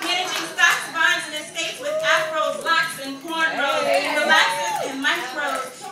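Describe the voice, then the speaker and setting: A woman uses a raised, projected voice. Her pitch is extremely high, and there is noticeable background noise. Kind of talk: spoken word poetry performance.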